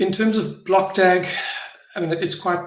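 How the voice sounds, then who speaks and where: Audible room echo follows a man with a South African accent as he speaks at a moderate pace with ordinary pitch variation. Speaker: blockchain project founder. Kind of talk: live online AMA session. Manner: halting, many fillers and repetitions.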